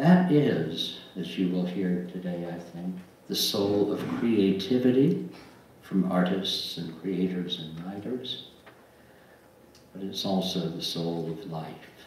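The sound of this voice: A man's slow, low-pitched voice with a slightly mellow tone, ordinary pitch variation and strong room echo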